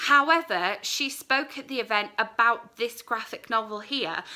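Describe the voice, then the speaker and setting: A bright, sharp tone with a British accent against a quiet background. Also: woman. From UK. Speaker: book vlogger; book reviewer. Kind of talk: casual vlog review. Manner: rambling, hesitant. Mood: earnest, thoughtful. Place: home room. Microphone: phone near.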